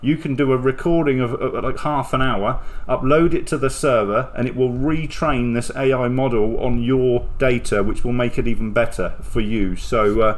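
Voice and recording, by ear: A man at a medium pitch talks at a moderate pace with few pauses and ordinary pitch variation.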